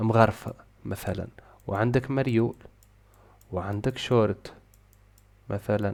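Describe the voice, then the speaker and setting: Very slowly and with long, frequent pauses, a man speaks in a fairly low pitch. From Tunisia. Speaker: programming teacher. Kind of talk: casual tutorial talk to camera.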